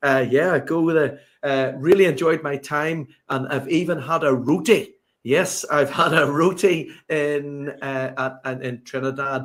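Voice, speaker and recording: A fairly high-pitched man in a Northern Irish accent, at a fairly slow pace. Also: fairly even intonation. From Northern Ireland, Belfast. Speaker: sports strategy consultant. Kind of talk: podcast interview.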